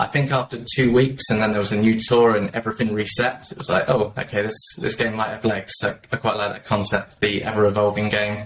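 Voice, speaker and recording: A man with a British accent, fairly low pitch, flat monotone intonation and a very fast pace. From southern England, just south of London. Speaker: mobile game player, guest panelist. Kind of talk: casual panel chat.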